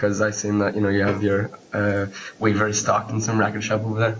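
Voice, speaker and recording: With an Irish accent, a man speaks at a fairly quick pace in a fairly low, monotone, flat voice of very even loudness. Noticeable background noise and audible room echo surround him. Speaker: podcast host. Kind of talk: interview.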